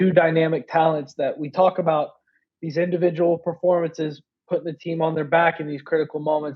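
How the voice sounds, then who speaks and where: A man with an American accent talks at a fairly high pitch and fairly quick pace. His intonation is monotone and flat. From Maryland. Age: 20s. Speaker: sports podcast host. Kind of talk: casual chat.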